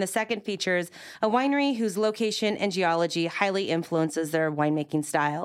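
A woman uses an ordinary speaking voice with lively intonation at a fairly quick pace. The recording is very clean, with a silent background. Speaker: radio podcast host. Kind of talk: interview. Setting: studio.

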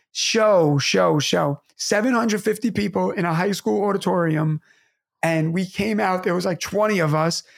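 A high-pitched man with a New York accent at a moderate pace, ordinary pitch variation and very even loudness, on a very clean recording with a silent background. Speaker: teacher and podcast co-host. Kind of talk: casual chat. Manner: animated.

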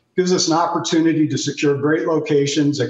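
Speaking at a fairly quick pace, a man has an unremarkable speaking voice with a fairly high pitch. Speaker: apparel company executive. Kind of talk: TV business interview.

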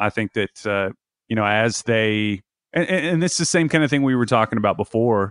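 A man with a normal speaking voice talks at a moderate pace. His pitch is fairly low. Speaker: basketball YouTuber. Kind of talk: casual interview chat.

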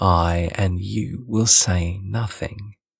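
Speaking at a very slow pace, a man with a fairly low, somewhat breathy voice is heard in a dry, close sound with no echo. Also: very clean recording, silent background. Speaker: audiobook narrator. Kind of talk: literary audiobook reading.

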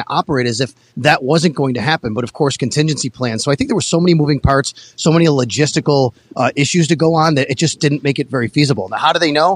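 Using a fairly high pitch with ordinary pitch variation, a man speaks at a very fast pace with hardly any pauses, in a dry, close sound with no echo. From Buffalo. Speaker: sports reporter. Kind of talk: casual chat. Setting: phone call.

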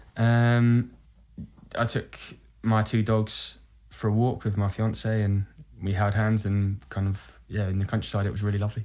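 With a British accent, a man speaks at a moderate pace and fairly low pitch, using monotone, flat intonation, very even loudness and long, frequent pauses. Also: very clean recording, silent background. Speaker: musical theatre actor. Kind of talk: casual chat. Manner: halting.

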